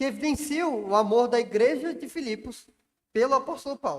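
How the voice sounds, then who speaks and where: This man's voice sits at an extremely high pitch. He speaks at a moderate pace. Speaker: pastor. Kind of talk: sermon. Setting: church.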